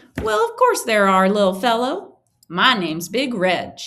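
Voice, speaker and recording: A woman performs a booming, put-on character voice. Her pitch is fairly high. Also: moderate pace. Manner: friendly, welcoming.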